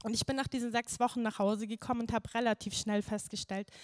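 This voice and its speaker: A woman at a very fast pace, monotone and flat, with a dry, close sound and no echo. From Bavaria, near Munich. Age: 20s. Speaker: churchgoer giving testimony. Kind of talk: testimony. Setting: stage with audience.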